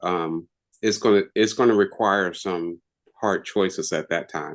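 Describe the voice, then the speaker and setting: At a fairly slow pace, a man with a normal speaking voice talks at a fairly low pitch with fairly even intonation. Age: 60s. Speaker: webinar participant. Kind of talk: casual chat.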